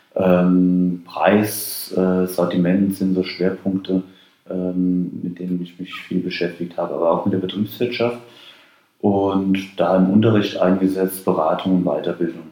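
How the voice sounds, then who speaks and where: A man's very deep, low voice, very slow and monotone, over noticeable background noise. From Rheinhessen, Germany. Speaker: wine marketing expert and lecturer. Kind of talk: interview. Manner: hesitant with fillers.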